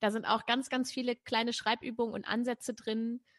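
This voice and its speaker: Somewhat breathy, a woman talks at a fairly quick pace against a quiet background. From northern Germany, Braunschweig. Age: 30s. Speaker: poetry slammer, presenter and author. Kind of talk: interview.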